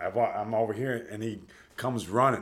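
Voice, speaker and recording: With audible room echo, the speech moves at a fairly slow pace with ordinary pitch variation. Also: man. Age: 40s. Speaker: homeless navy veteran. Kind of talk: interview.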